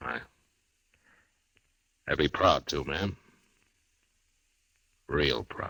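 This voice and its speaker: A man's raspy, put-on character voice at a fairly slow pace, broken by long, frequent pauses. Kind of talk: radio drama. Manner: hesitant, soft-spoken.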